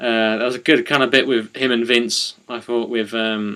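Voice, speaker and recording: Speaking at a fairly slow pace with a medium pitch and bright, sharp tone, a man with an East of England accent is heard in a very clean recording with a silent background. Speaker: wrestling podcast co-host. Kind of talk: casual chat. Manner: hesitant, many fillers.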